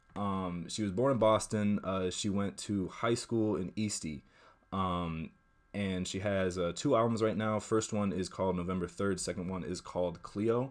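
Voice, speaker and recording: Speaking at a moderate pace with an American accent and ordinary pitch variation, this voice comes through on a very clean recording with a silent background. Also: man, fairly low pitch for a man. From US Northeast. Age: 20s. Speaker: music producer. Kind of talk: casual chat. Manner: halting.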